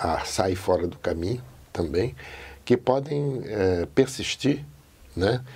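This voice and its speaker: A man at a very slow pace with lively intonation. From Portugal and São Paulo interior. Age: 80s+. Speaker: interviewee telling his life story. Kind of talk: oral history interview. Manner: reflective, with many fillers.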